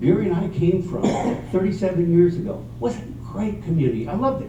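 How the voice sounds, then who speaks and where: A man speaks fairly quickly, his voice carrying audible room echo and noticeable background noise. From Mexico. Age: 60s. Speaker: council candidate. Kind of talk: candidate forum answer.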